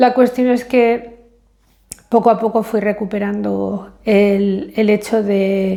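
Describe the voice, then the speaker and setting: A woman speaks in an English accent at a fairly high pitch. Her delivery is very slow, with monotone, flat intonation. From Spain. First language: English (speaking Spanish). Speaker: vlogger. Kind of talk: casual vlog monologue. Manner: hesitant, many fillers.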